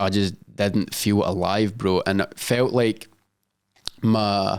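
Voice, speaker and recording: A man with a Scottish accent at a fairly low pitch, fairly even intonation and a very slow pace. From Scotland. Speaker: social media influencer and business owner. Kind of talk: podcast interview answer.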